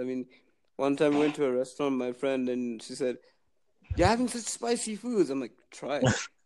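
In a plain, everyday voice, a man with a fairly high pitch speaks at a moderate pace with ordinary pitch variation. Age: 20s. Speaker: podcast app user. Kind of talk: casual chat.

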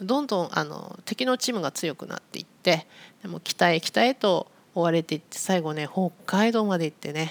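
A woman speaks in an ordinary speaking voice at a medium pitch with ordinary pitch variation, captured in a very clean recording against a silent background. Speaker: Japanese language teacher podcaster. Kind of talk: casual educational monologue for learners. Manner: slow, clear with simple explanations.

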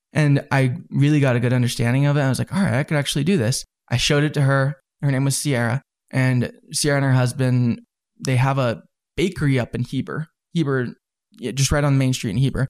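A man with an American accent at medium pitch and a very fast pace, in a very clean recording with a silent background and a dry, close sound with no echo. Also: very even loudness. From Southern California, then Utah from about age ten. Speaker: entrepreneur, drink shop founder. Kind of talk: interview, casual storytelling. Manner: animated, laughs often.

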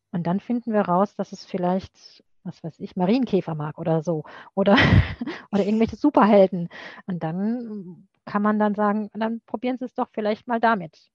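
Heard dry and close with no echo, a woman with a plain, everyday voice speaks at a medium pitch and moderate pace with ordinary pitch variation. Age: 50s. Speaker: librarian. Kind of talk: interview.

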